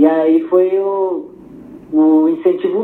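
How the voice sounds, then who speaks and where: The man's voice is high-pitched. His intonation is lively. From Pelotas, Rio Grande do Sul, Brazil. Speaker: skateboarder. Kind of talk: casual interview.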